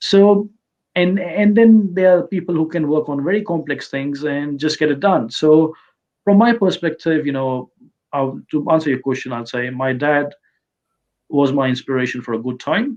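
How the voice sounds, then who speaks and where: The speech moves at a moderate pace with ordinary pitch variation, broken by long, frequent pauses. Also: man, fairly high pitch for a man. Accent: Indian. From India. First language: Hindi. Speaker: local council candidate. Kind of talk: interview. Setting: video call.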